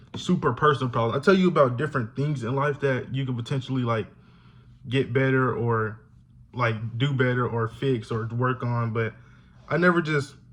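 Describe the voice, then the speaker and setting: Speaking with an American accent, the man has a medium pitch, fairly even intonation and a somewhat breathy quality. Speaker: YouTuber, college student. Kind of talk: casual vlog talk to camera. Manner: fast.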